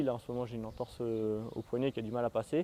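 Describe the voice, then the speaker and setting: A man talks very fast in a dark, mellow tone, the sound dry and close with no echo. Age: 20s. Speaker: mountain bike trials champion. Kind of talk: interview answers. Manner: hesitant, with fillers.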